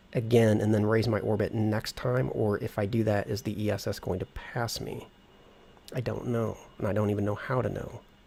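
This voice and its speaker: This man talks at a moderate pace with fairly even intonation and a fairly low pitch. His voice carries some vocal fry. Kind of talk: thinking out loud while playing a flight simulator. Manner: casual, relaxed.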